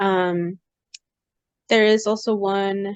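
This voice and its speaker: Dry and close with no echo, a woman speaks at medium pitch. Her American accent comes with flat, monotone intonation. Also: quiet background. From Los Angeles, California. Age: 20s. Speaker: podcast host, engineer. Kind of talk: casual chat. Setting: video call.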